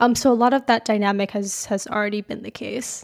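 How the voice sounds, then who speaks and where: This woman talks at a moderate pace in a fairly high voice. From Calgary, Canada. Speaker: software engineering student and release lead. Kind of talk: interview.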